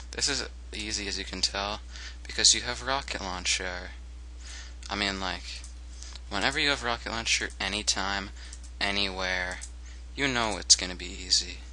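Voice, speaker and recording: A man with a very deep, low pitch and a bright, sharp tone speaks at a moderate pace with vocal fry, very wide pitch swings and long, frequent pauses. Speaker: let's play gaming commentator. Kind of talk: casual, profane, joking. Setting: recording alone at computer, music playing.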